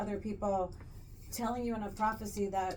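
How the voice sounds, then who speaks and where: Amid noticeable background noise and audible room echo, a woman speaks very fast at a fairly high pitch with fairly even intonation. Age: 60s. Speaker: podcast co-host. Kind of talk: casual chat.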